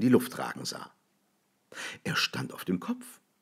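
A man talks at a moderate pace on a very clean recording where the background is silent. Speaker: audiobook reader. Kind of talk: literary short story reading.

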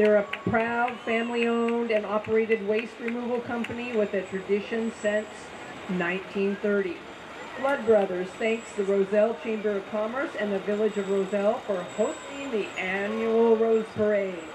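With noticeable background noise, a woman speaks at a moderate pace and with fairly even intonation. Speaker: parade announcer. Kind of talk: event announcing commentary. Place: street.

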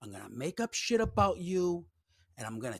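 Against a quiet background with a dry sound and no echo, a man speaks at a moderate pace, his pitch swinging very widely. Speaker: livestream host. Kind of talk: commentary. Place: home room. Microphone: studio mic.

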